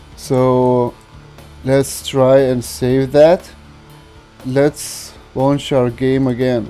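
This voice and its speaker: Over music in the background, a man with a non-native accent speaks very slowly at a medium pitch. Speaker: game modding YouTuber. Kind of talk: modding tutorial narration.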